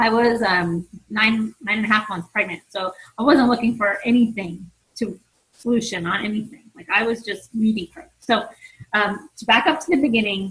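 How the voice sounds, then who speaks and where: A woman with a plain, everyday voice, pitched fairly high, speaks at a moderate pace with ordinary pitch variation and big swings in loudness. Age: 40s. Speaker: fitness coach. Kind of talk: team conference call talk. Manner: casual, conversational.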